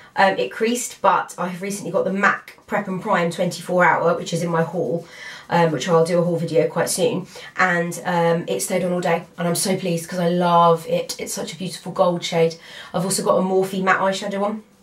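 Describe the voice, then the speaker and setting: Over noticeable background noise, a woman speaks at a fairly low pitch and moderate pace with monotone, flat intonation. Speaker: beauty vlogger. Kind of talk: product review tutorial. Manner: casual, filler-heavy.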